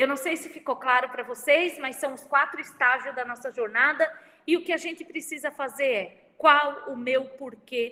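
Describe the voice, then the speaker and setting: A woman uses a raised, projected voice at a high pitch and a moderate pace. Her tone is bright and sharp. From Santa Catarina, Brazil. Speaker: university professor and speaker. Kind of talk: online lecture. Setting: video livestream with chat.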